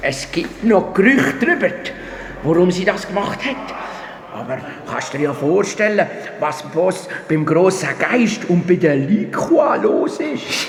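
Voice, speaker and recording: Over clear background noise with slight echo, a man puts on a high-pitched character voice. He speaks fairly slowly, with long, frequent pauses. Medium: audio drama. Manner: chatty, stammering.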